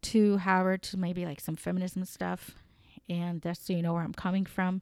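In a Spanish accent, a woman with a medium-pitched voice talks at a moderate pace, her dry, close sound carrying no echo on a very clean recording with a silent background. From Colombia. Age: 30s. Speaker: podcast host. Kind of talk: unscripted solo commentary. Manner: animated; halting, many fillers.

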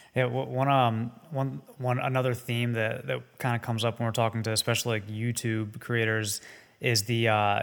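A man speaks at a medium pitch and a moderate pace, with ordinary pitch variation. Music plays in the background. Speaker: podcast co-host.

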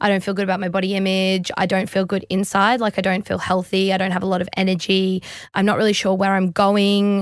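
Speaking at a very fast pace with an Australian accent, a woman keeps a medium pitch, monotone, flat intonation and very even loudness. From Australia, Brisbane. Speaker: professional CrossFit athlete. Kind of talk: interview.

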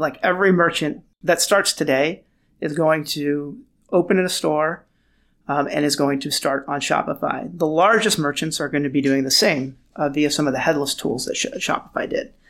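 On a very clean recording with a silent background, a man with an American accent and a fairly high pitch uses a normal speaking voice, ordinary pitch variation and a moderate pace. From Lebanese-Armenian, raised in Los Angeles. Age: 40s. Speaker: tech founder and venture investor. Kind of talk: interview.

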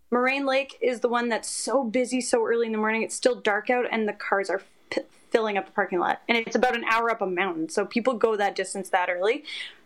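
Over noticeable background noise, a woman with a Canadian accent talks at a very fast pace, her fairly high voice showing ordinary pitch variation. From Canada. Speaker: reality TV personality. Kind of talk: casual chat.

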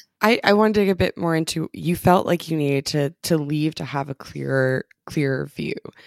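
A woman talks at a fairly quick pace with hardly any pauses, her pitch very deep and low, with ordinary variation. The sound is dry and close, with no echo. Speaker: podcast host. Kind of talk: interview, podcast host.

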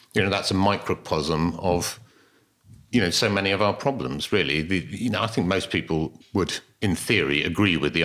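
A man speaks at a moderate pace in a very deep, low pitch. His tone is bright and sharp, and his loudness stays very even. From Devon, England. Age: 50s. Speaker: organic farmer. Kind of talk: interview conversation. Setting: at his farmhouse.

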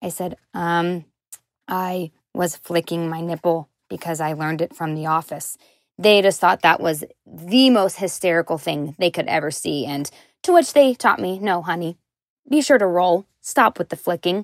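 A woman speaks in a normal speaking voice with an American accent, fairly low in pitch with ordinary pitch variation, at a moderate pace. The recording is very clean, with a silent background. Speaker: caller. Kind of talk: casual chat.

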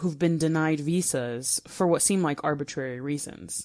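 Her pitch is very deep and low. The woman speaks with an American accent. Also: quiet background. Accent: clear American. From United States. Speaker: travel blogger. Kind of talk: recorded contribution.

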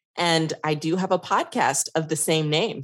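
With a slight Texas accent, a woman talks at a fairly low pitch with ordinary pitch variation. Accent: slight Texas, says y'all. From New York. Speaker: workplace consultant and podcast host. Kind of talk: casual interview chat.

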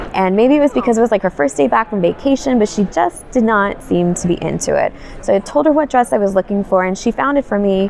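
A woman at a very fast pace with hardly any pauses, medium pitch, lively intonation and very even loudness, over noticeable background noise. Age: 30s. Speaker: blogger with Crohn's disease. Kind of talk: interview. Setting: at a conference.

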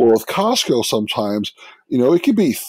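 Animated male speaker with a New York accent, very wide pitch swings, and a dry, close sound with no echo. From New York, Brooklyn. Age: 50s. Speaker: food blogger. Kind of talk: casual chat.

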